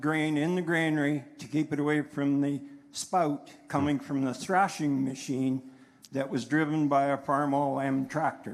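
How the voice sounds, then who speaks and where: A man with a western Canadian accent speaks at a fairly high pitch and a moderate pace. His intonation is monotone and flat, on a very clean recording with a silent background. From northern Alberta, Canada. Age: 60s. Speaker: farmer rancher, town hall audience member. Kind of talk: public comment at a town hall. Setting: town hall with audience, microphone.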